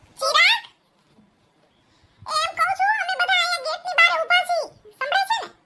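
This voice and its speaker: Here a woman puts on a cartoonish character voice at an extremely high pitch. Her pace is moderate. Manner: loud, brisk, chatty.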